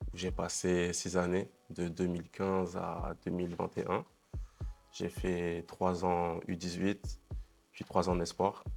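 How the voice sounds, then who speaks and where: Music plays behind a man with a very deep, low voice who speaks at a very slow pace. His intonation is monotone and flat, with long, frequent pauses. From France, Paris region (Carrières-sous-Poissy), Martinican family. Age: 20s. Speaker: professional basketball player. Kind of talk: interview. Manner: casual, hesitant with many fillers.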